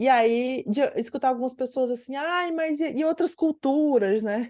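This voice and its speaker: A woman speaks at a fairly slow pace in a high voice with a dark, mellow tone. The background is quiet. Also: ordinary pitch variation. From Ceará, northeastern Brazil. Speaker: psychoanalyst and researcher. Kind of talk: interview conversation. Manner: many fillers and self-restarts.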